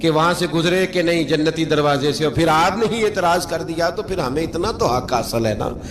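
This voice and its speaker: A man's voice sits fairly high in pitch, with music in the background. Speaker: Islamic scholar preacher. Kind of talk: Islamic sermon (bayan) with anecdotes. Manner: emotional, narrative, humorous retelling.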